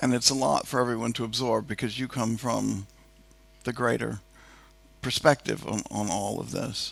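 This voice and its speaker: A man speaks at a medium pitch and a moderate pace, with vocal fry. His pitch varies in an ordinary way, and he takes long, frequent pauses. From United States. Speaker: moderator, digital transformation executive. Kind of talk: on-stage interview. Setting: stage with audience.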